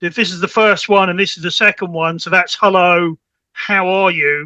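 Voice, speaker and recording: With a British accent, a man uses a raised, projected voice with a bright, sharp tone at a moderate pace, recorded with a dry, close sound and no echo. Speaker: network specialist. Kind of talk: podcast interview, technical explanation. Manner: repeats words, halting starts.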